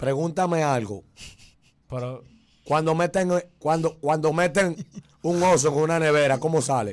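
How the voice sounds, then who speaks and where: A man speaks fairly slowly at a fairly high pitch, with long, frequent pauses. His tone is animated and his pitch variation ordinary. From Dominican Republic. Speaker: viral internet personality; interview guest. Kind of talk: casual chat. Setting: studio. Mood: joking, playful. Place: studio. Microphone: studio mic.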